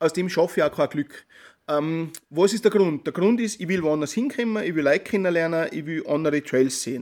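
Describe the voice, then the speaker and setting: Here a man talks in a high pitch. He has a strong Tyrolean accent. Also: ordinary pitch variation, fairly quick pace. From Austria, Tyrol. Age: 40s. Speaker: journalist and trail-running blogger. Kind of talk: interview. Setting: remote call.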